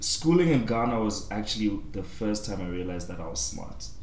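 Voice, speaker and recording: At a moderate pace, a man speaks with very wide pitch swings over noticeable background noise. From southern Africa. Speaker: podcast guest. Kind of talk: casual chat.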